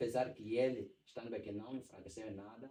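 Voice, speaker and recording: His voice is medium in pitch, dark and mellow, somewhat breathy, and the man keeps his intonation fairly even. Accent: Angolan. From Angola. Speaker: church singer and songwriter. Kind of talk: casual podcast interview.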